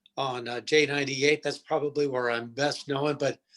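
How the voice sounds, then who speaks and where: Here is a man with an American accent. He has a normal speaking voice and fairly even intonation. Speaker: radio DJ. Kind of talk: interview answer.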